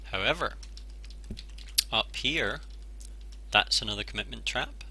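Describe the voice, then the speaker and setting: A man with a Scottish accent at a moderate pace. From Scotland. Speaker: games journalist. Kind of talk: casual gameplay commentary.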